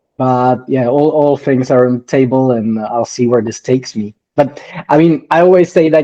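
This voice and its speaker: A man with a non-native accent speaks at medium pitch. His pace is moderate and his pitch varies in an ordinary way. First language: not English. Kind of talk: interview. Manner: halting.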